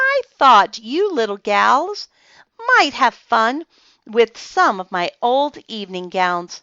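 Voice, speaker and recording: A woman's put-on character voice, fairly high, at a fairly slow pace with very wide pitch swings. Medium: read story. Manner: warm, nice.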